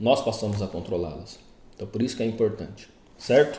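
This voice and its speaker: At a moderate pace, a dark, mellow, somewhat breathy voice comes through with audible room echo. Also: man. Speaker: therapist. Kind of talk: casual talk to viewers; commented reading. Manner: informal, conversational.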